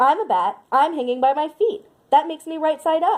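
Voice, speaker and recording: A woman talks in a put-on character voice that is squeaky and high-pitched. Her pace is fairly quick. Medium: read story. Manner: loud.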